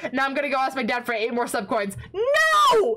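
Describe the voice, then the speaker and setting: Raising and projecting her voice, a woman with an American accent speaks at a moderate pace and a high pitch, with very wide pitch swings over noticeable background noise. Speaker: livestreamer. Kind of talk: casual livestream chat. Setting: home desk setup with microphone. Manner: animated.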